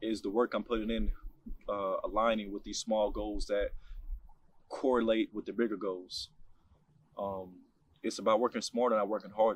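Pausing long and often, a man speaks at a moderate pace. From New York City (Harlem, Bronx). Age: 20s. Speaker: personal storyteller. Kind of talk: personal testimony monologue.

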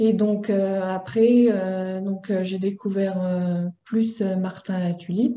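A woman speaks very slowly at a medium pitch, her tone dark and mellow. Her intonation stays fairly even. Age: 20s. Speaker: laboratory technician and interview guest. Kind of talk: personal testimony interview.

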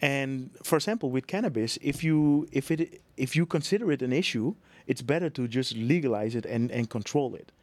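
A man talks at a moderate pace with lively intonation and a fairly high pitch. The recording is very clean with a silent background, and the sound is dry and close with no echo. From Netherlands. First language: Dutch. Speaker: real estate business owner and YouTuber. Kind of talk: casual interview conversation. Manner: halting.

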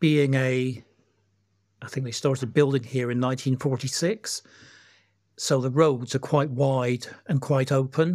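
This man has an unremarkable speaking voice at medium pitch, with fairly even intonation. He talks at a fairly slow pace in a very clean recording with a silent background. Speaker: community member and campaigner. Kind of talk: casual interview.

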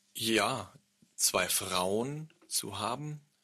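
A man speaks in a bright, sharp tone. His pitch variation is ordinary. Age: 30s. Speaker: podcast host. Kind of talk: casual chat.

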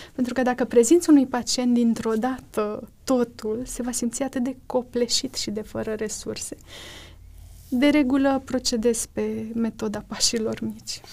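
Her pitch is high, yet the tone is dark and mellow, with fairly even intonation. This woman talks at a fairly slow pace. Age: 30s. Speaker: doctor. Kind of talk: interview testimony.

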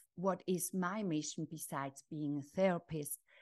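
A woman's fairly low voice with ordinary pitch variation over a quiet background. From Switzerland. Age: 50s. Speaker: life coach and author. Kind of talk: interview.

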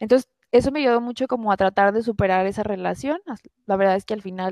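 Fairly quick speech from a woman at medium pitch, in a very clean recording with a silent background and a dry, close sound with no echo. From Mexico, Guadalajara. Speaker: engineer, airline employee. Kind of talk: personal testimony in interview. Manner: hesitant, many fillers.

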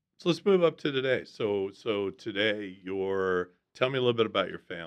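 Pitched fairly low, a man talks in a normal speaking voice. He keeps a moderate pace with ordinary pitch variation. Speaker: coach and podcast host. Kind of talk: interview.

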